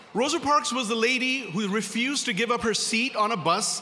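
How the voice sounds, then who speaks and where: A man shouts in an extremely high pitch, his raised voice projected at a fairly quick pace with ordinary pitch variation. Noticeable background noise and audible room echo fill the recording. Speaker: corporate attorney, gala speaker. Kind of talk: speech at a gala. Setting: banquet hall with audience. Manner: loud, shouting; passionate.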